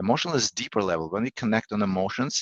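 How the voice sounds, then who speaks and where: A man talks with a Russian accent. His voice sits at a medium pitch. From Russia, Saint Petersburg. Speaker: negotiation coach. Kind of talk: podcast interview. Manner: halting.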